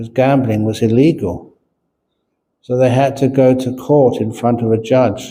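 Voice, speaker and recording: Amid audible room echo, a man speaks fairly slowly at a medium pitch, his tone dark and mellow and his intonation fairly even. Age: 70s. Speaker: Buddhist monk and teacher. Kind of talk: dharma talk with jokes. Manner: casual storytelling.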